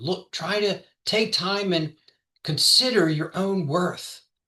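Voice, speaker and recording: In an American accent, a man speaks with a high pitch and a bright, sharp tone. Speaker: trial lawyer and podcast host. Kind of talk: motivational talk. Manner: soft-spoken; quiet.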